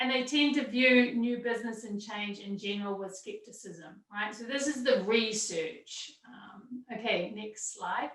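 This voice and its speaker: A New Zealand accent, hardly any pauses, and ordinary pitch variation. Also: woman, fairly high pitch for a woman. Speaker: university entrepreneurship center director. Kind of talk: panel presentation. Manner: fast.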